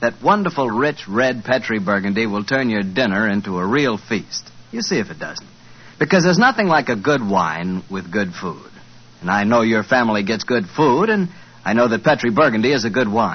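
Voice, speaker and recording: A man's ordinary speaking voice, medium in pitch, with lively intonation. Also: moderate pace. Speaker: radio announcer. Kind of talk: radio sponsor ad read and announcements. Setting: studio. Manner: warm, chatty, friendly salesman tone.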